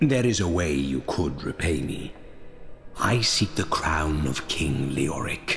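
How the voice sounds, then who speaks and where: At a fairly slow pace, a man performs a put-on character voice against clear background noise. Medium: machinima. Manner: cold, detached, solemn.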